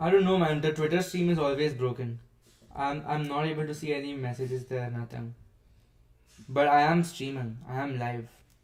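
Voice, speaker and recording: With fairly even intonation, a man speaks at fairly high pitch in an unremarkable speaking voice. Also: moderate pace. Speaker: software developer streamer. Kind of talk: live coding stream.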